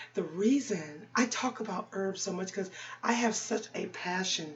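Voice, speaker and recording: With ordinary pitch variation, a woman speaks at a medium pitch and a fairly slow pace. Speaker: ASMR creator. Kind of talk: ASMR herbal health talk. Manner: whispered.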